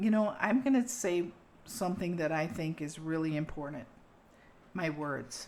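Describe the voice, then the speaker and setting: A woman speaks at a fairly slow pace with lively intonation. Her pitch is fairly low. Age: 60s. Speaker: podcast host. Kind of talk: casual chat. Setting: kitchen.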